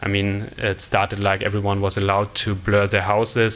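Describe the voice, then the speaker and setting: A man with a German accent and a fairly low pitch, music playing in the background. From Germany. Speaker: conference speaker, mobile product developer. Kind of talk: conference talk. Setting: stage with audience. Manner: halting, many fillers. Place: stage. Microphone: podium.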